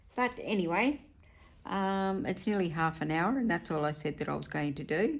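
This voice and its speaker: With an Australian accent, a woman talks at a moderate pace. Her fairly low voice makes very wide pitch swings. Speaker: craft vlogger. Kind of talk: casual chat while crafting. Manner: hesitant, with fillers.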